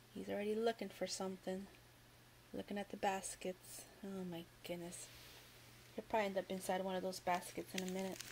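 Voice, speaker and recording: Somewhat breathy, a woman talks at a fairly quick pace with long, frequent pauses. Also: medium pitch for a woman. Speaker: Dollar Tree haul YouTuber. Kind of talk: casual haul video, product showcase. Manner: animated, cheerful.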